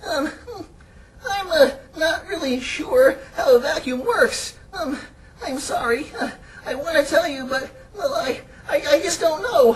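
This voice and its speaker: A cartoonish character voice with a high pitch talks at a fairly slow pace. Long pauses come often. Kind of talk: children's puppet comedy.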